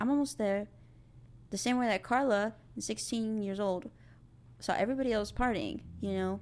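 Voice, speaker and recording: In a very clean recording with a silent background, a woman with an American accent speaks at a moderate pace in a fairly high pitch, taking long, frequent pauses. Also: ordinary pitch variation. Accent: South Texas Mexican American English. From South Texas, Rio Grande Valley. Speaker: film student. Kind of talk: casual chat. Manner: animated.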